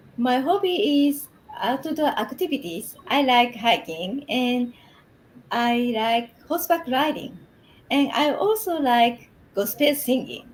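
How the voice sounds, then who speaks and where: A woman's high voice at a very slow pace. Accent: Japanese. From Japan, Shimane Prefecture. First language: Japanese. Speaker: English program participant. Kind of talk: interview. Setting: live stream.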